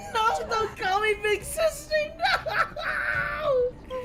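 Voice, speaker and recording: In a put-on character voice, a woman shouts at an extremely high pitch and a very slow pace over noticeable background noise. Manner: desperate protest.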